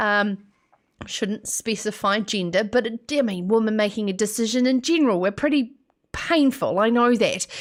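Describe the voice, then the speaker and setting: A woman with a New Zealand accent and a fairly high pitch keeps her loudness very even. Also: ordinary pitch variation, moderate pace. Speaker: radio host. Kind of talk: live show monologue. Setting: studio.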